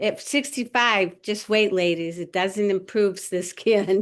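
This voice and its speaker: This woman has a plain, everyday voice, pitched in the medium range, with ordinary pitch variation. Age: 60s. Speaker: client. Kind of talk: consultation.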